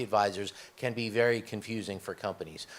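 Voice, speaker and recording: Speaking in a New York accent, a man with a medium pitch keeps a moderate pace. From US, New York. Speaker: corporate executive, panelist. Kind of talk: panel discussion.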